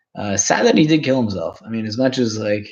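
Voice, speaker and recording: A man speaks at a moderate pace in a fairly low voice, with a Toronto accent. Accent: old school Torontonian. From Canada, Toronto. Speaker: live streamer. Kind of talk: casual chat. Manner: halting.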